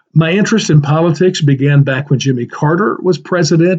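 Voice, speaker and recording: A somewhat breathy voice moves along at a fairly quick pace. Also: man. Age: 60s. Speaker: political podcaster. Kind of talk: solo podcast commentary. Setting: home office library. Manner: casual, conversational.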